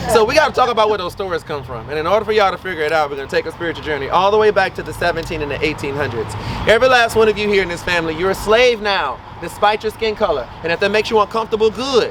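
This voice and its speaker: A man with a Louisiana accent talks very fast in a high pitch, animated in tone and lively in intonation, over noticeable background noise. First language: Louisiana Creole. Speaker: voodoo priest and tour guide. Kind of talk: guided walking tour talk.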